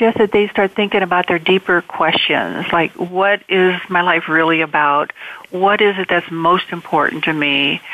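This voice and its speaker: Fairly low in pitch, a woman speaks at a moderate pace with fairly even intonation and very even loudness. Noticeable background noise runs underneath. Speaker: spiritual author. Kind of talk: inspirational interview. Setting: online call.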